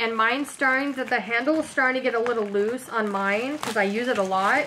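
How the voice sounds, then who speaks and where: A woman's high-pitched voice with ordinary pitch variation, at a fairly quick pace over noticeable background noise. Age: 30s. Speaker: lifestyle vlogger doing shopping hauls. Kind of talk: casual haul video talking to camera. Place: kitchen. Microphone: phone near.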